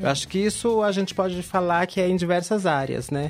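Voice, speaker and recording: A woman's normal speaking voice, fairly low in pitch, fairly quick, with ordinary pitch variation. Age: 40s. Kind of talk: panel discussion.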